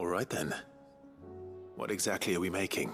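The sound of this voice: With faint music in the background, a man puts on a low-pitched character voice full of vocal fry. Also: lively intonation, moderate pace, fairly bright tone.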